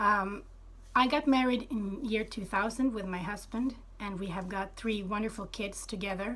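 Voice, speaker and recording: A woman with a Swedish accent speaks at a fairly slow pace, her pitch fairly high. Her voice is somewhat breathy, with ordinary pitch variation. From Sweden. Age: 30s. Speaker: former Jehovah's Witness telling her story. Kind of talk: personal testimony. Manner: halting, many fillers.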